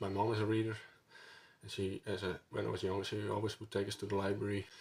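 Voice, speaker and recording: In a Dutch accent, a man speaks at a fairly quick pace with a fairly low, somewhat breathy voice and monotone, flat intonation. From Netherlands. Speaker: book vlogger. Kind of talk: casual vlog monologue. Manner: halting, many fillers.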